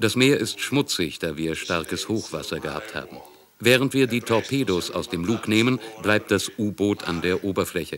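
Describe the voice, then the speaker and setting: A man speaks at a moderate pace with a fairly low pitch and lively intonation. Noticeable background noise sits behind him. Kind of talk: testimony, German voice-over of recollection.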